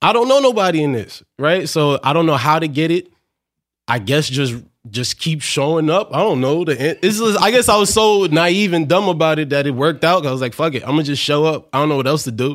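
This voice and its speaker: In an American accent, a man with an unremarkable speaking voice talks at a fairly quick pace and fairly high pitch with lively intonation, on a very clean recording with a silent background. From New York (Brooklyn and Queens). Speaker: stand-up comedian. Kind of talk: casual interview chat.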